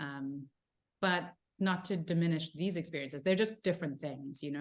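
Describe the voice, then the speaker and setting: A woman with a South African accent, fairly even intonation and a moderate pace, in a very clean recording with a silent background. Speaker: actor. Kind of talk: interview. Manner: casual, many fillers.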